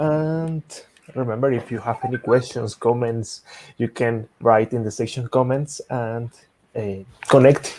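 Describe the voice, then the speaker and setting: The voice has a dark, mellow tone and a Spanish accent, with fairly even intonation. Long pauses come often. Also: man. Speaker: software engineer, tech speaker. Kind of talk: technical presentation.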